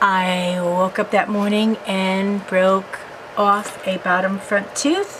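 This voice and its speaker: Over noticeable background noise, a woman talks at a very slow pace. Her intonation is flat and monotone. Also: medium pitch for a woman. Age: 60s. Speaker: crafting video blogger. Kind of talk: casual unboxing vlog.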